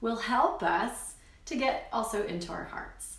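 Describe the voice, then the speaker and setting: Fairly high-pitched woman's voice with audible room echo and noticeable background noise. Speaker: spiritual healer. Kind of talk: guided meditation. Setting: live stream.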